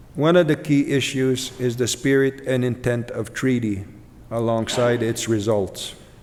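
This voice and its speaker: This man has a medium pitch and fairly even intonation. He speaks at a fairly slow pace. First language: Ojibwe. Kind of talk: keynote speech. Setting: conference stage with audience. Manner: pausing.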